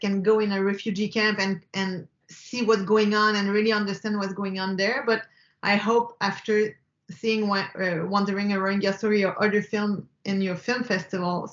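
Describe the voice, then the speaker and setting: A woman talks with a Quebec accent at a medium pitch. Her intonation is monotone and flat, and her pace is moderate. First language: French. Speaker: film director. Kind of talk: interview. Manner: halting, frequent repetitions and fillers.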